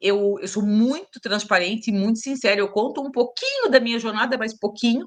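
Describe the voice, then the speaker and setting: At a moderate pace, a woman with a Santa Catarina accent speaks at a fairly high pitch with ordinary pitch variation. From Brazil, Santa Catarina (Itajaí). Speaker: teacher and speaker. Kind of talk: interview conversation.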